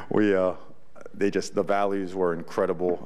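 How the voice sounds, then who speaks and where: A man's fairly low voice with audible room echo. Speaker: college football head coach. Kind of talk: press conference. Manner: animated.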